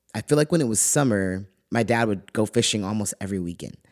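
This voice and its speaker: On a very clean, dry, close recording with a silent background and no echo, a man with a fairly low pitch talks at a fairly quick pace in a Californian accent. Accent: Californian American. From California (Lompoc). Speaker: podcaster telling personal stories. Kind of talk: personal essay read aloud.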